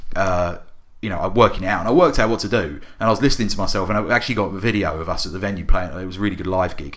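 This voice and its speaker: A man speaks very fast in a fairly low voice with ordinary pitch variation, and some room echo can be heard. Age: 30s. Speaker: podcast co-host. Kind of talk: casual chat.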